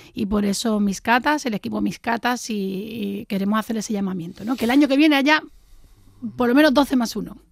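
Speaking at a fairly quick pace, a woman with a fairly high pitch shows ordinary pitch variation. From Jerez, Andalusia. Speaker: wine tasting organizer. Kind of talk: casual chat.

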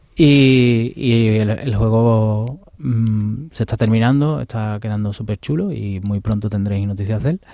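A man's dark, mellow voice at medium pitch, with ordinary pitch variation and a fairly slow pace. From Andalusia, Seville. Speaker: video game studio founder. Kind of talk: interview.

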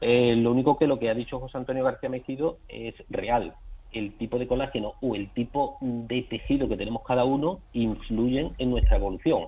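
This is a normal speaking voice from a man at medium pitch. He talks at a moderate pace. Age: young. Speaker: gynecologist. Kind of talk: expert interview.

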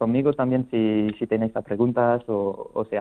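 A man is speaking at a fairly slow pace. His intonation stays fairly even. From France. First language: French (speaking Spanish). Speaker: wine sample company representative. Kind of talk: radio interview. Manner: halting.

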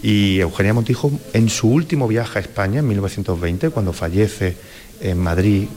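With noticeable background noise behind him, a man of fairly low pitch speaks at a moderate pace with lively intonation. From Andalusia. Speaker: cultural director. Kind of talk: interview.

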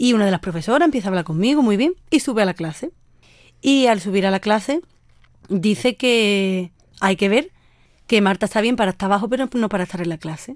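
A woman's medium-pitched voice, fairly quick and lively, with long, frequent pauses, in a very clean recording with a silent background. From Andalusia, Sanlúcar de Barrameda (Cádiz). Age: 20s. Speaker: university student with rare diseases. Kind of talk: personal testimony interview.

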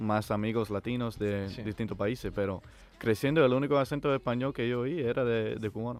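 Here is an ordinary speaking voice from a man at medium pitch. He talks at a fairly quick pace with fairly even intonation. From North Carolina, US, Cuban family. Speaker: former student. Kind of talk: casual chat.

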